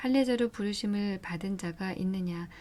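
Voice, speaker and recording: Soft-spoken and somewhat breathy, a woman talks at a moderate pace with a medium pitch and a dark, mellow tone. Her intonation is fairly even, and the recording is very clean with a silent background. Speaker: bible reader. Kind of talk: reading aloud.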